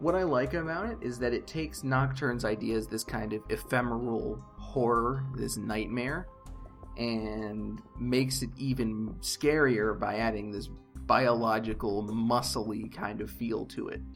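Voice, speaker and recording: Music can be heard behind the speaker. He is a man talking at a fairly slow pace. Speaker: game lore commentator. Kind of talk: casual commentary to viewers. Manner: hesitant, says uh often.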